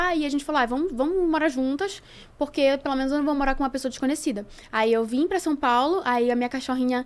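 Talking very fast in a Pará accent, a woman speaks at a high pitch with ordinary pitch variation. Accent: northern Brazilian (Pará). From Belém, Pará, northern Brazil; Pará, Brazil. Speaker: actress and dancer; actress. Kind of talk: casual chat. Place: studio. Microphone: studio mic.

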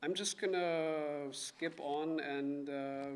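Here a man speaks with a German accent. His intonation is monotone and flat. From Germany (Bavaria). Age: 30s. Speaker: author. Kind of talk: book talk with reading aloud. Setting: stage with audience. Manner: halting. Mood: calm, reflective. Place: hall. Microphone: podium.

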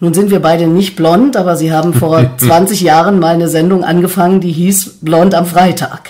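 At a moderate pace, the talking runs on with hardly any pauses while noticeable background noise continues. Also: woman, fairly low pitch for a woman, ordinary pitch variation. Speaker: podcast host, interviewer. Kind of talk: podcast interview. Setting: at guest's home.

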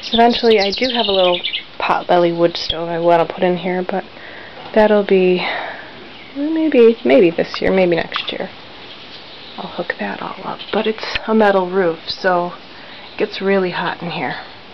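Moderate pace with long, frequent pauses, over noticeable background noise. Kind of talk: casual vlog chat. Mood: relaxed and content. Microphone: phone near.

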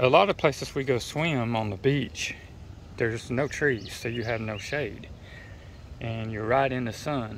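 Noticeable background noise surrounds a man speaking at a fairly slow pace. The sound is dry with no echo. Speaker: product reviewer. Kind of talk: casual product demo. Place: garden. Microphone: phone near.

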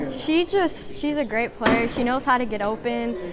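A woman speaks at a fairly quick pace with noticeable background noise behind her. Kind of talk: interview answer. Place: hall. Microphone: lapel.

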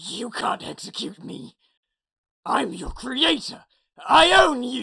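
The voice is raspy and moves slowly, with long, frequent pauses. Its pitch swings very widely and its loudness rises and falls sharply. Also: man, extremely high pitch for a man. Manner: arrogant, menacing.

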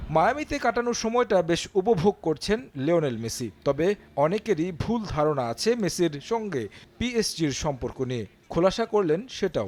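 A man's high pitch with very wide pitch swings. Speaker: sports news reporter. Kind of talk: scripted narration.

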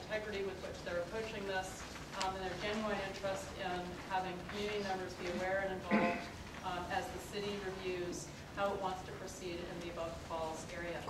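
A woman at a fairly quick pace amid loud background noise and audible room echo. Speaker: forum host. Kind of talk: meeting introduction and announcements. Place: meeting room. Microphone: camera far.

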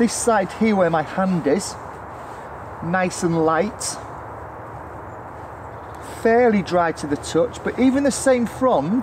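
Noticeable background noise behind a man's very slow pace. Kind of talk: tutorial. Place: forest. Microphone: camera far.

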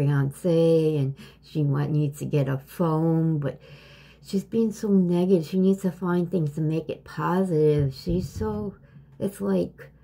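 The somewhat breathy voice moves at a very slow pace. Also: woman. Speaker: vlogger. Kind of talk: casual vlog chat. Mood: worried, sad. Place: home room. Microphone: phone near.

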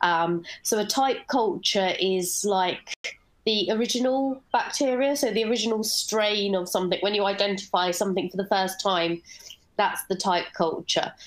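A woman speaks with a British accent at a moderate pace. Her loudness stays very even, and her pitch varies in an ordinary way. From UK. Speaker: bio artist; presenter. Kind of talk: online panel presentation. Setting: video call. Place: home room.

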